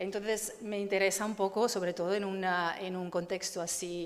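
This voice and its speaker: Fairly even intonation at a moderate pace, in an Italian accent, with audible room echo. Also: woman. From Italy. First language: Italian (speaking Spanish). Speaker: photography curator. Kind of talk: conference talk. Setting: stage with audience. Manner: halting.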